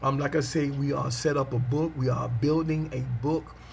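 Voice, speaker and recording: The voice is monotone, with flat intonation, and audible room echo surrounds it. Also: man. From US South, Pelham, Georgia. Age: 40s. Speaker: preacher. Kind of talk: casual video monologue. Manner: frequent amens and filler ums.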